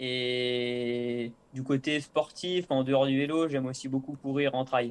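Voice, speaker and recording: With fairly even intonation, a man speaks in a medium pitch. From Savoie, French Alps. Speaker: professional cyclist. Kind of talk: interview. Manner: hesitant, many filler euh.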